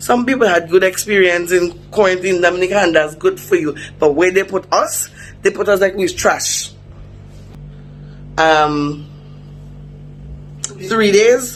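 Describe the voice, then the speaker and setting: Music plays in the background as a man speaks with a high pitch, a moderate pace, ordinary pitch variation and long, frequent pauses. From Dominica. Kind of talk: casual vlog to camera.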